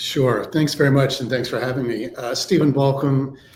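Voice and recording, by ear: A man at medium pitch, moderate pace and fairly even intonation, with audible room echo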